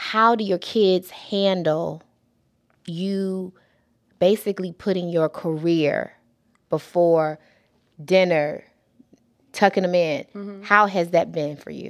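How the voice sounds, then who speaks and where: A woman at a medium pitch speaks at a very slow pace, with long, frequent pauses and big swings in loudness. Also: very clean recording, silent background. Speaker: podcast host. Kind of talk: casual interview chat. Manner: animated, enthusiastic.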